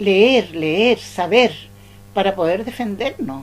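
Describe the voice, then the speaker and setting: Music plays in the background as a woman speaks at a very slow pace with lively intonation. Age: 80s+. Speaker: interviewee, witness of the coup era. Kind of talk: oral history interview. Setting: at her home.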